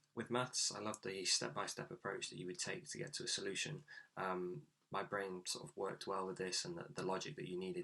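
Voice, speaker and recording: With an East Midlands accent, the speaker talks at a fairly quick pace in a bright, sharp tone with vocal fry and very wide pitch swings. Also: man. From England, Nottingham. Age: 20s. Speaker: graduate mechanical engineer. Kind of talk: career talk monologue.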